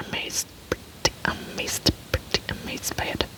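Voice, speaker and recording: Someone whispers in a German accent over noticeable background noise. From Germany. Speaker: ASMR youtuber. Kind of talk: ASMR casual talk. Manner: soft-spoken; halting. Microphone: poor microphone setup.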